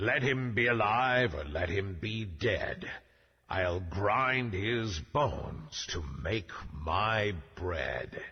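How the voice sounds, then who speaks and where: A man puts on a booming character voice at a medium pitch. He speaks at a very slow pace. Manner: menacing.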